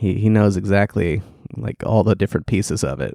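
Recorded very cleanly against a silent background with a dry, close sound and no echo, a man speaks at a moderate pace with vocal fry, a dark, mellow tone and ordinary pitch variation. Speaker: podcast co-host. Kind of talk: casual chat.

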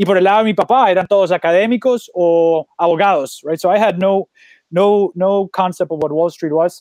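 With a Spanish accent, a man speaks at a fairly quick pace in a high pitch, his intonation fairly even. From Colombia. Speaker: startup founder. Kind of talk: interview. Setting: video call.

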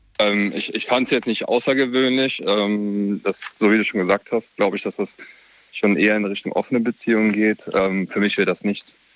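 This is a plain, everyday voice moving at a moderate pace with fairly even intonation. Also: man, fairly low pitch for a man. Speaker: caller. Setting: phone call.

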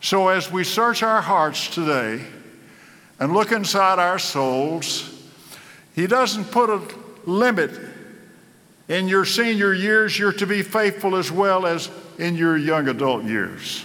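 In a raised, projected voice, a man with an American accent speaks at a very slow pace with long, frequent pauses, a high pitch and lively intonation, amid audible room echo. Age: 80s+. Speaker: pastor. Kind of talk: sermon.

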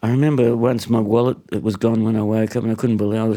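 A medium-pitched male voice with a dark, mellow tone. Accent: Australian. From Australia (born in Hungary, arrived aged two). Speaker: singer and harmonica player. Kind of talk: casual chat. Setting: his apartment lounge room.

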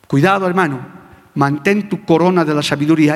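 A man speaks in an animated tone. Noticeable background noise can be heard behind him. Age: old. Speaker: pastor. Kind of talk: sermon. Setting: church with congregation. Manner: animated, emphatic.

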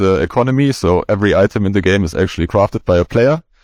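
An unremarkable speaking voice from a man, fairly low in pitch and at a fairly quick pace, with a dry, close sound and no echo. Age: 30s. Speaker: lead game designer. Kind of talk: panel discussion.

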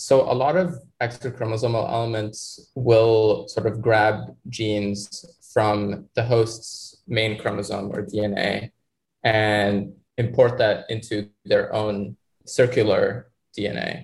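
The man's voice is medium in pitch and somewhat breathy. He talks at a very slow pace with fairly even intonation. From Egypt. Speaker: microbiology graduate student. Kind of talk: interview explaining research.

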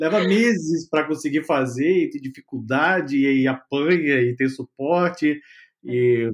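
A man's fairly high, unremarkable speaking voice at a fairly slow pace, with ordinary pitch variation. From Brazil, Rio de Janeiro. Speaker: podcast host, data science educator. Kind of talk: interview.

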